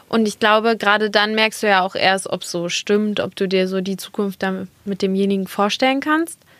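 With a plain, everyday voice, a woman speaks at a medium pitch and a moderate pace, using ordinary pitch variation and hardly any pauses. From Germany, Dortmund (Ruhr area). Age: 20s. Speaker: model and content creator. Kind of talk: casual chat. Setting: studio.

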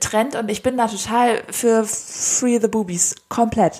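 Here a woman has a normal speaking voice, fairly high in pitch. She talks at a fairly slow pace. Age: 20s. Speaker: podcast co-host. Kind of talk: casual chat.

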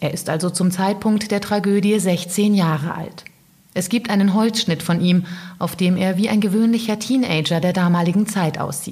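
At a moderate pace, a woman speaks in a serious tone with a somewhat breathy voice. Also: medium pitch for a woman. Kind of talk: true-crime narration. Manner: serious, measured storytelling pace; dramatic, suspenseful.

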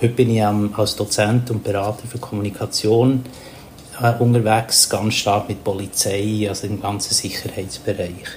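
Over noticeable background noise, a man with a fairly low pitch talks at a moderate pace in a flat monotone. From Papua New Guinea. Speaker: communication coach and mediator. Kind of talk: interview. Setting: remote call.

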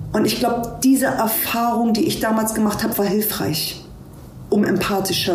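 A woman speaks at a very even loudness, with audible room echo and noticeable background noise. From Hamburg, Germany. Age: 40s. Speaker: police officer. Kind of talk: interview.

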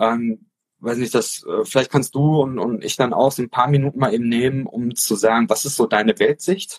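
The sound is close and dry, without any echo. It's a man talking. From Offenbach, Hesse, Germany. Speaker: podcast host, teacher. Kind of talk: casual chat. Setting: Instagram live video call. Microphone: poor livestream audio.

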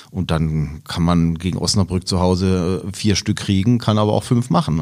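A man's very deep, low voice at a moderate pace with ordinary pitch variation, on a very clean recording with a silent background. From Karlsruhe area, Baden. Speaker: blind-audience football commentator. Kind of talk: casual football chat.

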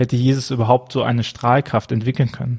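The speaker talks very fast in a somewhat breathy voice against a quiet background. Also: man. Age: 30s. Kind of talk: casual chat about a Bible text. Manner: hesitant, many filler sounds.

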